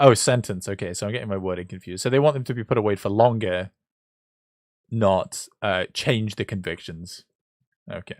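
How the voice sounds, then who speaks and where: A British man with a fairly low pitch speaks at a fairly quick pace with ordinary pitch variation, big swings in loudness and long, frequent pauses, on a very clean recording with a silent background. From Britain. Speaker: political livestreamer. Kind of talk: live commentary. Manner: halting, many fillers and restarts.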